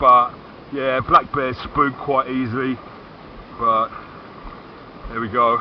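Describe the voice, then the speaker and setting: A man speaks very slowly at a medium pitch, with monotone, flat intonation and long, frequent pauses. Noticeable background noise is present. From Britain. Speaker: vlogger. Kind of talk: casual chat. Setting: outdoors. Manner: halting.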